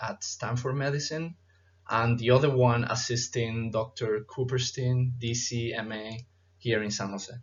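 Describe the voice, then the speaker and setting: A man with a medium pitch and a somewhat breathy voice keeps his intonation fairly even. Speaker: chiropractic student presenter. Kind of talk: conference presentation. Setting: virtual conference. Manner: formal.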